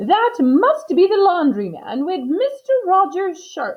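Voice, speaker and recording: A woman uses a put-on character voice pitched extremely high. She speaks at a fairly slow pace, her pitch swinging very widely. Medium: read story.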